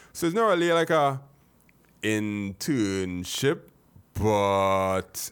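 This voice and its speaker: In a very clean recording with a silent background, a man speaks with fairly low pitch and lively intonation. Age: 40s. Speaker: tech podcast host. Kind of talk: casual chat.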